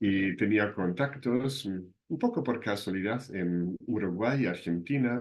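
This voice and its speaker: A man's fairly low voice moves with ordinary pitch variation. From southern Germany. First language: German (speaking Spanish). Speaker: university lecturer. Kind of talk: lecture.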